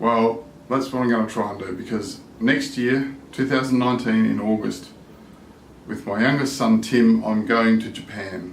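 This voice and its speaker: At a moderate pace and with fairly even intonation, the speaker talks over noticeable background noise. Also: man, medium pitch for a man. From Australia. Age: 60s. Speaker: language learner vlogger. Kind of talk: casual vlog monologue.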